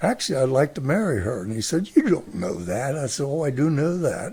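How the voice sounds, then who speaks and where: Very wide pitch swings in a dark, mellow, somewhat breathy tone at a moderate pace. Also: man. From US Midwest, Mansfield, Ohio. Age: 80s+. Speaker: retired grandfather. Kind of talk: casual interview.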